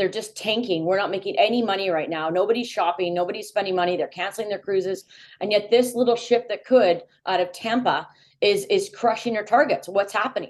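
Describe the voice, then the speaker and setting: A woman speaks at a fairly quick pace in an ordinary speaking voice, medium in pitch, with ordinary pitch variation. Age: 40s. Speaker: food brand consultant. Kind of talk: casual chat.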